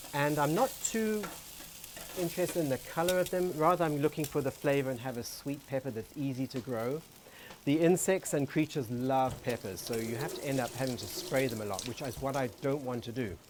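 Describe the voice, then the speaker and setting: Over noticeable background noise, a man with an American accent talks at a fairly quick pace with lively intonation. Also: fairly high pitch for a man. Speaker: co-host, floral designer and home gardener. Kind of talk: casual cooking show chat. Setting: outdoors in a backyard garden.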